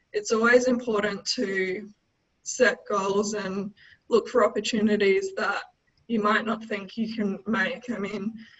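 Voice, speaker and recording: Speaking with an Australian accent, a woman talks at a fairly slow pace in a fairly high pitch with monotone, flat intonation. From Darwin, Northern Territory, Australia. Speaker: senior consultant, chartered accountant. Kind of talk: webinar presentation on business finance.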